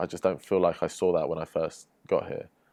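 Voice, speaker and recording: Against a quiet background, a man with an English accent talks at a fairly quick pace. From England, London. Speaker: professional footballer. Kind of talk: podcast interview. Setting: studio.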